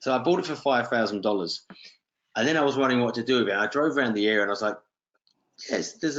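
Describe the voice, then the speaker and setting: At a very fast pace, a man with a British accent speaks at a medium pitch with lively intonation. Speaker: real estate investor. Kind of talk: webinar talk. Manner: casual, anecdotal.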